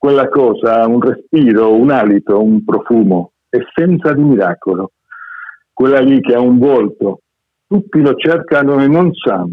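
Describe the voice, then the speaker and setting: In an unremarkable speaking voice, a man talks at medium pitch and a fairly slow pace. His intonation is lively and his loudness very even. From Argentina. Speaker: poet and short story writer. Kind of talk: reading aloud; casual chat.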